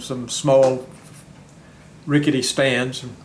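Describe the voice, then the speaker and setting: Audible room echo surrounds a man talking with an American accent. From US South. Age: 90s. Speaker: war veteran and retired county clerk. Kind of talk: interview.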